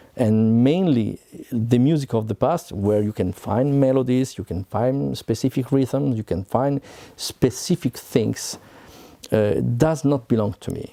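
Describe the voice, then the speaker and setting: With an Italian accent, a man speaks at a fairly slow pace in a medium-pitched, dark, mellow voice with lively intonation, the sound dry and close with no echo. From Italy, Milan area. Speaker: composer. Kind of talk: talk to camera. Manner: halting.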